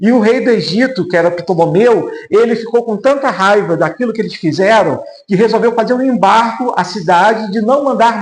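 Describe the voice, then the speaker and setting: Hardly pausing, a man speaks at a moderate pace in a high voice with ordinary pitch variation. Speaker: pastor. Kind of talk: Sunday school Bible lesson.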